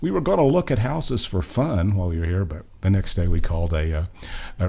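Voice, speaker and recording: Speaking at a moderate pace with an American accent, a man has a very deep, low, somewhat breathy voice and ordinary pitch variation. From Oklahoma. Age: 70s. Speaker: singer-songwriter, retired nurse. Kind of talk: casual interview chat.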